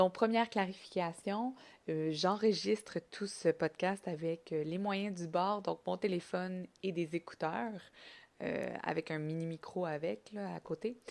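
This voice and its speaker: Speaking at a very slow pace is a woman. Her pitch is fairly low, with ordinary pitch variation. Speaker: podcast host. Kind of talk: solo podcast monologue.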